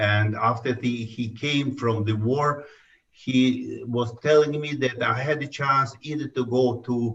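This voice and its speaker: The man's delivery is fairly slow, with a somewhat breathy sound. His pitch variation is ordinary. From Tajikistan. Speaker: historian. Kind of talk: interview. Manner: halting.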